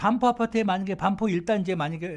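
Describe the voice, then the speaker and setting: This man's voice is high-pitched. He talks at a very fast pace. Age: 60s. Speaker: talk show guest telling life stories. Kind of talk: casual storytelling chat. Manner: casual, conversational with fillers.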